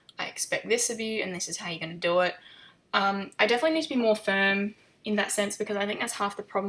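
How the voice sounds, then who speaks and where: A woman with a medium-pitched, bright and sharp voice talks in a relaxed tone with fairly even intonation. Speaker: equestrian vlogger. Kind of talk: voiceover narration of riding video. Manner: hesitant, many fillers.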